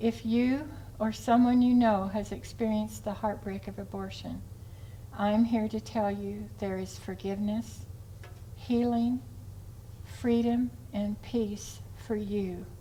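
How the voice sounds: A woman speaks slowly at a medium pitch. Her tone is dark and mellow, with little pitch movement.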